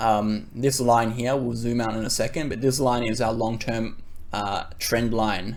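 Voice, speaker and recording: Talking in an Australian accent, a man keeps a moderate pace at medium pitch with ordinary pitch variation. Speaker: crypto trader and YouTuber. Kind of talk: market analysis tutorial. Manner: casual with filler words.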